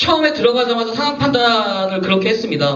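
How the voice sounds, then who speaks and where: Recorded with audible room echo and noticeable background noise, a man speaks at an extremely high pitch with very wide pitch swings. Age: 40s. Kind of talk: forum speech.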